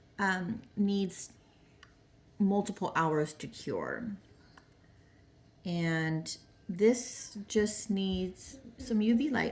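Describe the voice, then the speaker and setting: A woman speaks at a very slow pace with a medium pitch, ordinary pitch variation, a somewhat breathy quality, and long, frequent pauses. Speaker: small business owner and crafter. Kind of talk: craft tutorial vlog. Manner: casual, thinking aloud.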